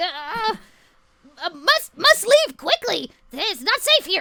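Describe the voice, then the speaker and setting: This is a put-on character voice, shrill and extremely high-pitched. It swings very widely in pitch and moves at a fairly slow pace. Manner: urgent, warning.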